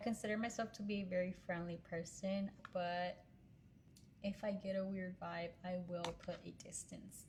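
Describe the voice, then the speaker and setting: This woman speaks at a fairly slow pace in a medium pitch, her voice somewhat breathy and her intonation flat and monotone. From Pennsylvania, US, then Texas from age 14. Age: 20s. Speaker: social media content creator. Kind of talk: casual vlog talk to camera.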